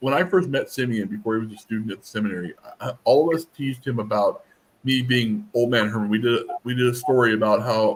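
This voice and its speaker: Here is a man with an ordinary speaking voice at a medium pitch. He moves at a fairly quick pace, with ordinary pitch variation. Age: 30s. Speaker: seminary student and livestream host. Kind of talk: casual chat.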